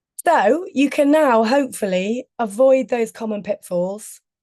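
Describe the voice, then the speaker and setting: A woman with a British accent speaks in a dark, mellow tone at a fairly high pitch, with lively intonation and a quiet background. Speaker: communications trainer. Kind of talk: webinar presentation.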